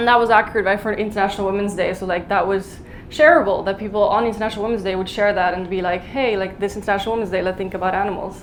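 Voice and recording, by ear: A woman speaks at a very fast pace with few pauses. Her pitch is medium and her intonation fairly even.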